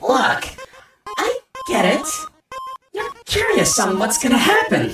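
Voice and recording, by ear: A woman uses a put-on character voice, fairly high and fairly bright, at a slow pace with very wide pitch swings. Faint music plays in the background, and the room echo is strong.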